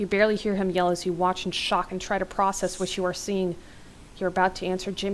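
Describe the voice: Simple reading out loud.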